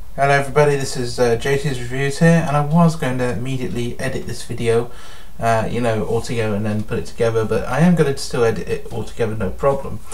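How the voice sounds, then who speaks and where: In a room with audible echo and noticeable background noise, a man of medium pitch speaks very fast with ordinary pitch variation. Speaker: product reviewer. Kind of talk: casual video review. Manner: hesitant, many fillers.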